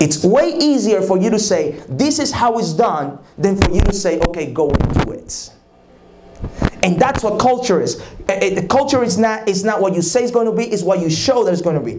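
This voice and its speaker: A man with a Spanish accent talks at a moderate pace in a high voice for a man, his intonation lively, with audible room echo and noticeable background noise. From Dominican Republic. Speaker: leadership conference speaker. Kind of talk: leadership talk. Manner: repetitive, emphatic.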